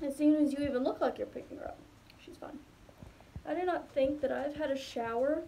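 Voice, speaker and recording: With fairly even intonation, a woman speaks over light background noise. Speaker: young mother vlogger. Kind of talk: casual vlog chat. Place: bathroom. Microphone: phone near.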